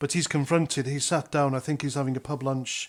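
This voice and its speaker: An ordinary speaking voice from a man, fairly high in pitch with fairly even intonation, on a very clean recording with a silent background. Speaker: army veteran. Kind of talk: political commentary to camera. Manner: casual, conversational.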